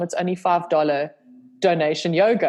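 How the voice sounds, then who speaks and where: A woman talks with a South African accent. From South Africa, Cape Town. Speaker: yoga instructor and video creator. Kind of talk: casual chat. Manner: animated.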